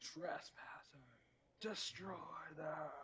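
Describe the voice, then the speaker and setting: A man bellows in a put-on character voice. His pitch is high. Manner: bellowing.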